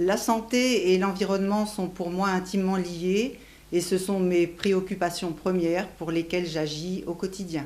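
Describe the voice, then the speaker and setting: A woman talks at a fairly slow pace, with audible echo in the room. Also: medium pitch for a woman, fairly even intonation. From Béarn, southwest France. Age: 50s. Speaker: pharmacist, local election candidate. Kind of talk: self-introduction.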